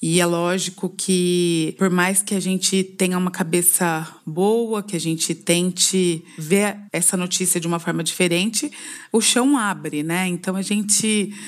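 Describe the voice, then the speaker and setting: A normal speaking voice from a woman at medium pitch, fairly slow in pace with fairly even intonation and hardly any pauses, in a very clean recording with a silent background. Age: 40s. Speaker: cancer patient. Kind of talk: testimony.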